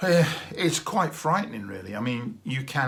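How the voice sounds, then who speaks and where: Bright and sharp in tone, a man's medium-pitched voice moves at a moderate pace with very wide pitch swings. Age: 60s. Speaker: vlogger, retired teacher. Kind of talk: casual video diary monologue. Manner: hesitant, with fillers.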